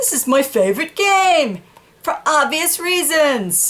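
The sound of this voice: A woman's cartoonish character voice, high-pitched and fairly bright, with big pitch swings and a slow pace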